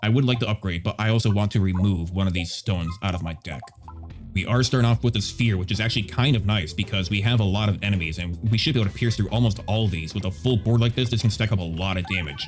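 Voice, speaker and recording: A man at a very fast pace with ordinary pitch variation, music in the background. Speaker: gaming YouTuber. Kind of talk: gameplay commentary.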